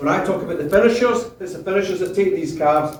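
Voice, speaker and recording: A man speaks with a Scottish accent. Room echo is audible. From Scotland, South Lanarkshire (Biggar). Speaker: beef cattle breeding consultant. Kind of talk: conference presentation. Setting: stage with audience. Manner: loud.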